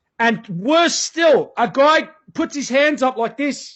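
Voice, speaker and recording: A man with an Australian accent speaks in an animated tone, his extremely high voice rising and falling with lively intonation. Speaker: guest describing police crackdown, former use-of-force instructor. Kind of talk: interview.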